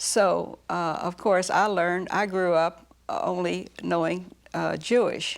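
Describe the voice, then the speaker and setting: A woman with an American accent speaks at a medium pitch with fairly even intonation, recorded very cleanly with a silent background. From Dallas, Texas. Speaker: interviewee recalling local history. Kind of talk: oral history interview. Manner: halting with many fillers.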